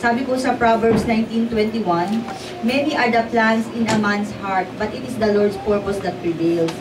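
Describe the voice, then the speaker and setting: Fairly slow and fairly high-pitched, a woman talks with a Filipino accent. Noticeable background noise runs under her voice. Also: ordinary pitch variation. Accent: Filipino English, Taglish. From Philippines. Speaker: prayer leader. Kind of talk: exhortation, preaching. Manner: earnest, fervent; animated, urging the listeners. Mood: earnest, devotional. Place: church.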